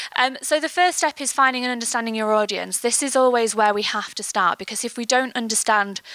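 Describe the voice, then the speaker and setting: A woman's fairly high, bright, sharp voice in an English accent, at a fairly quick pace. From England. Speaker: marketing agency creative lead. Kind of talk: conference talk. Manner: fast.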